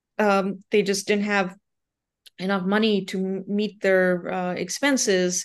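The delivery is monotone and flat, at a fairly slow pace. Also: woman, medium pitch for a woman. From India. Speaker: journalist. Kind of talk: interview. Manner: halting.

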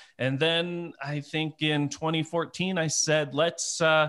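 A man with an American accent and a bright, sharp tone, on a very clean recording with a silent background. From US Midwest (Detroit area). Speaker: photographer and photography conference organizer. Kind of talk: casual interview.

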